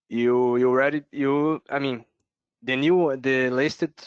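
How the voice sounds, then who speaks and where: In a Brazilian accent, a man speaks at a medium pitch with fairly even intonation and a fairly slow pace. The background is quiet and the sound is dry and close with no echo. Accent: Brazilian accent, non-native English. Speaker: software developer presenter. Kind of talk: technical presentation Q&A. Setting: online video meeting. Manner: halting, many fillers.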